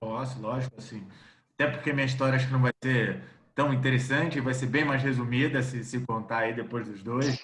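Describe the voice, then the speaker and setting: With audible room echo around him, a man with a Rio de Janeiro accent speaks in a flat monotone at a medium pitch. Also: moderate pace. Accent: carioca accent, noticeable. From Rio de Janeiro, Brazil. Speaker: executive search consultant. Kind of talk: video call interview.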